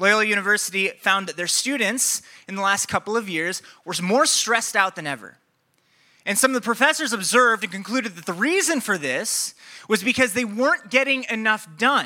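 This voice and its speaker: A man with an American accent speaks in a raised, projected voice at high pitch, his bright, sharp tone animated and his intonation lively at a fairly quick pace. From Iowa, Des Moines area. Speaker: pastor. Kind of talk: sermon.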